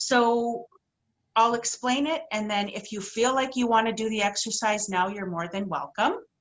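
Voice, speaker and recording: Moderate pace and ordinary pitch variation from an ordinary speaking voice. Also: woman, fairly high pitch for a woman. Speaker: intuitive healer. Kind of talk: workshop talk.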